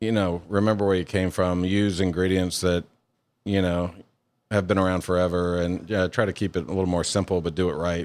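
A man with a Louisiana accent, very deep and low in pitch, with monotone, flat intonation at a moderate pace, on a very clean recording with a silent background. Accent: Southern US (Louisiana). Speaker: chef and restaurant owner. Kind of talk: interview.

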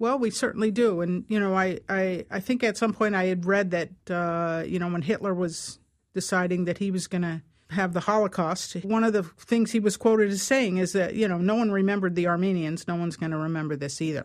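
In a plain, everyday voice, a woman speaks at a medium pitch with ordinary pitch variation. Her pace is fairly quick over a quiet background. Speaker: real estate broker. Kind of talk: radio interview. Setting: studio.

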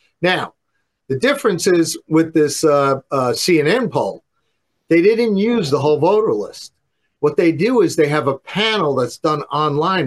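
A man speaks in an ordinary speaking voice with lively intonation. His pace is moderate, and the background is quiet. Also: fairly high pitch for a man. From New York. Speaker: pollster. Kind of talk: interview on politics and polling. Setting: remote interview.

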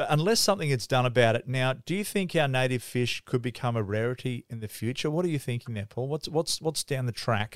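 A man with an Australian accent speaks fairly quickly at a medium pitch with lively intonation. The sound is dry and close with no echo, a very clean recording with a silent background. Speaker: fishing podcast host. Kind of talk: casual interview.

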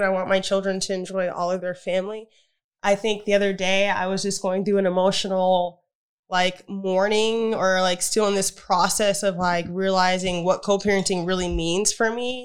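A woman's medium-pitched voice at a moderate pace, on a very clean recording with a silent background. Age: 30s. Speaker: podcast co-host. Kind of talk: casual chat.

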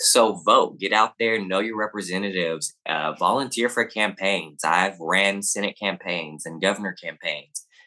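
With a Southern US accent, a man talks at a moderate pace in a fairly low voice with a bright, sharp tone. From US South, Arkansas. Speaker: activist and drag queen. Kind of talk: interview.

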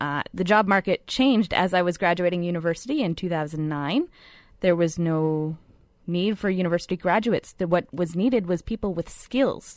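A woman's plain, everyday voice, fairly low in pitch, with ordinary pitch variation and a moderate pace, on a very clean recording with a silent background. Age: 20s. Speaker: millennial radio guest. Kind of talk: radio panel discussion.

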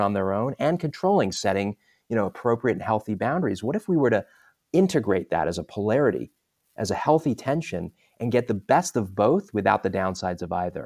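Here is an ordinary speaking voice: a man with an American accent, fairly low pitch and lively intonation, talking at a fairly quick pace. The sound is dry and close with no echo, on a very clean recording with a silent background. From London, England, then Southern California. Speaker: executive coach and author. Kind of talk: interview.

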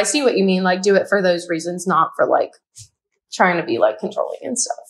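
A woman speaks with an American accent. Her intonation is lively. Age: 20s. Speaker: caller. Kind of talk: phone-in advice call. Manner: hesitant, many fillers.

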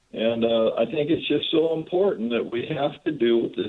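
Noticeable background noise behind a man's moderate-paced speech. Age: 70s. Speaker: life coach. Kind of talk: casual radio chat.

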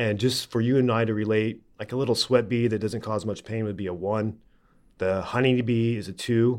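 With a normal speaking voice and an American accent, a man speaks at a fairly quick pace in a fairly low pitch with fairly even intonation against a quiet background. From Oklahoma. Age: 30s. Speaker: TV presenter and animal handler. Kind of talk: interview.

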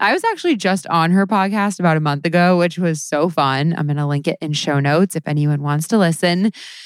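Delivered at a fairly quick pace, an ordinary speaking voice moves with ordinary pitch variation. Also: woman, fairly low pitch for a woman. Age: 30s. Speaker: podcast host and comedy writer. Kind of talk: casual comedic interview.

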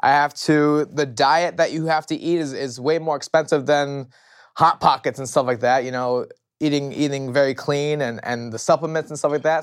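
The pace is moderate. Behind a very clean recording, the background is silent. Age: 30s. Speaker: retired MMA fighter. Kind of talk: casual interview. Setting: studio.

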